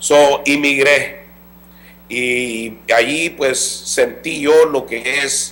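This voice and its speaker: A man speaks at a fairly high pitch. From Los Angeles, raised in US by Salvadoran parents. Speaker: former gang member, community organization worker. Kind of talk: interview testimony. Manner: halting, with repetitions and fillers.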